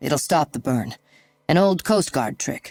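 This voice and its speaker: With music in the background, a raspy, put-on character voice at a middle pitch speaks at a fairly slow pace. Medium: read story. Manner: easygoing, warm.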